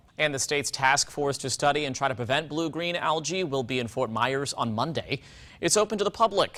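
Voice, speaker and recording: Lively intonation marks this man's normal speaking voice, pitched fairly high. He talks at a fairly quick pace. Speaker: TV news anchor. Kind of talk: TV news anchor delivery, anchor demo reel.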